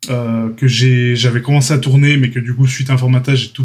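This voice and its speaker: A man speaks in a somewhat breathy voice. His intonation is monotone and flat. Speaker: 3D art trainer, YouTuber. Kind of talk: casual channel update talk. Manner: hesitant, many fillers.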